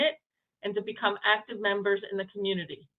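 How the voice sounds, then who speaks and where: A woman speaks with a New York accent. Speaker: nonprofit executive director. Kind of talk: presentation. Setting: hybrid meeting, remote call. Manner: hesitant, many fillers.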